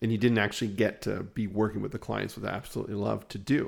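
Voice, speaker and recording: Recorded very cleanly against a silent background, a man speaks in a fairly low voice with vocal fry and fairly even intonation. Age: 40s. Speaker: podcast host, business marketing agency owner. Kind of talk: casual business chat.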